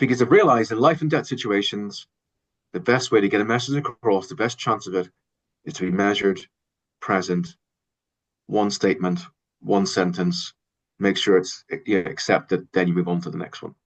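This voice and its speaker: A man with an Irish accent at a fairly low pitch, fairly quick pace and lively intonation, with long, frequent pauses over a quiet background. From Ireland. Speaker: sports communication consultant, researcher. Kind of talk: interview answer.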